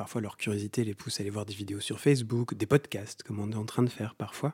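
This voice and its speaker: In a dry, close sound with no echo, a man speaks at a fairly low pitch with a dark, mellow tone, somewhat breathy delivery, fairly even intonation and big swings in loudness. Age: 30s. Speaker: osteopath and legal scholar. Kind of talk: interview. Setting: in person at host's home.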